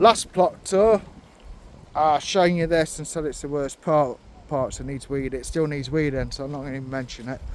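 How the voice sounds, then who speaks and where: With an English accent, a man talks at a moderate pace and a fairly high pitch, taking long, frequent pauses while his loudness swings widely. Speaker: allotment vlogger. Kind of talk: casual vlog. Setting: outdoors.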